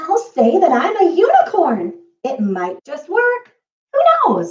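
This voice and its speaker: Using a put-on, squeaky character voice at an extremely high pitch, a woman speaks at a fairly slow pace. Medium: read story.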